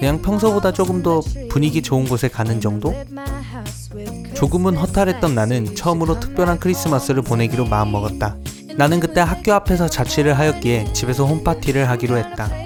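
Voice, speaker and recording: Against music in the background, a man at a medium pitch talks at a fairly quick pace with very wide pitch swings and very even loudness. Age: 20s. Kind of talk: vlog voice-over narration. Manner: calm, soothing.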